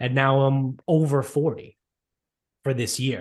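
A somewhat breathy man with a medium-pitched voice against a quiet background. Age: 30s. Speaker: podcast co-host. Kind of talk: casual chat.

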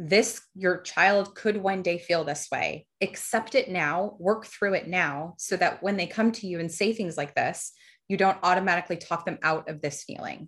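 Using a plain, everyday voice, a woman talks at medium pitch and a moderate pace with ordinary pitch variation. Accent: American. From New Jersey, US. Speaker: donor-conceived person sharing her story. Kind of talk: personal testimony in interview.

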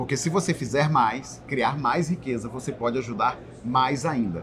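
A man speaks at a medium pitch and a moderate pace with lively intonation. Noticeable background noise runs behind him. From Belém do Pará, Brazil. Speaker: podcast co-host, entrepreneur. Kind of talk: casual chat.

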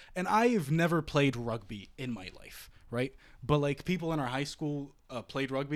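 Speaking at a fairly quick pace, a man uses a fairly high pitch, an animated tone and ordinary pitch variation. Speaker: university student. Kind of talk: casual chat.

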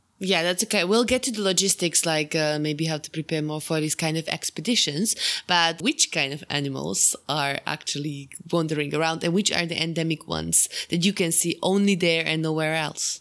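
With a Slovak accent, a woman of fairly low pitch speaks at a moderate pace with hardly any pauses and ordinary pitch variation. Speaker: podcast host. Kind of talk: casual interview. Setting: video call.

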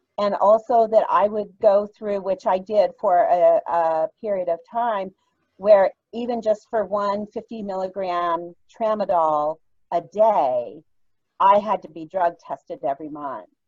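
In a dry, close recording with no echo and a quiet background, a woman with an unremarkable speaking voice talks fairly slowly at a medium pitch, with big swings in loudness. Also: lively intonation. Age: 60s. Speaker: nurse, cannabis patient. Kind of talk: personal testimony.

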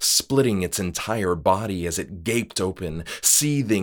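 Just plain reading aloud

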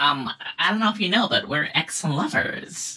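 This put-on character voice is raspy and squeaky, moving at a moderate pace.

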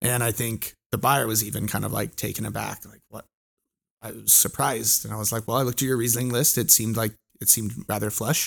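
A man at medium pitch talks at a very fast pace with an American accent. His intonation is monotone and flat, with vocal fry. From California, US. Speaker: wine educator. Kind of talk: casual chat.

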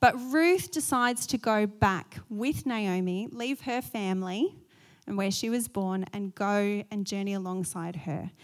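A woman speaks with an Australian accent at a fairly slow pace. The recording is very clean, with a silent background. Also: medium pitch for a woman, lively intonation. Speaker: pastor. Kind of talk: sermon.

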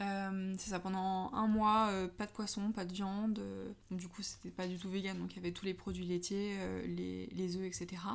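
A woman speaks at a fairly slow pace in a monotone, flat intonation. Noticeable background noise runs under her voice. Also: medium pitch for a woman. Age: 20s. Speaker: art director in packaging design. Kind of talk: casual interview.

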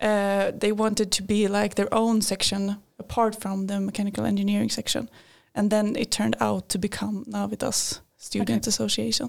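At a moderate pace, a woman speaks with a Swedish accent. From Sweden, Linköping. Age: 20s. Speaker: engineering student. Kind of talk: casual interview. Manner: hesitant, many fillers.

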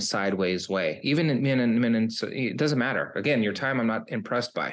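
An unremarkable speaking voice from a man, medium in pitch with ordinary pitch variation, at a moderate pace over a quiet background. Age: 50s. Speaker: recovery coach. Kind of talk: interview.

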